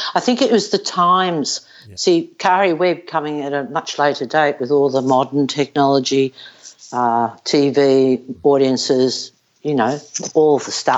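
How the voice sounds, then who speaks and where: In an Australian accent, a woman speaks at a fairly slow pace. Her voice is very deep and low, with ordinary pitch variation. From Australia, Melbourne. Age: 60s. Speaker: retired professional golfer. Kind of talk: casual interview. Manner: blunt.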